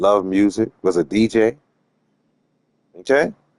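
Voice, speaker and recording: A man with an animated tone, in a dry, close sound with no echo. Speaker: streamer and sports commentator. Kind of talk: casual livestream rant. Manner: loud and boisterous.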